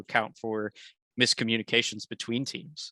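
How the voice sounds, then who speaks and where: On a very clean recording with a silent background, a man of medium pitch talks at a very fast pace in a bright, sharp tone with monotone, flat intonation. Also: dry, close sound with no echo. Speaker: devops architect presenting at meetup. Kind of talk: technical presentation and Q&A. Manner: casual, many fillers.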